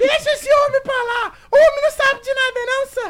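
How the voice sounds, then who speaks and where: An extremely high pitch marks this put-on character voice. Its pace is moderate. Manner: hissing.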